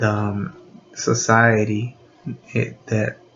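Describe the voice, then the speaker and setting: A man with a medium pitch talks at a very slow pace. Noticeable background noise is present. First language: Spanish. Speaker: video blogger. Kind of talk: unscripted monologue. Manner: halting, many fillers.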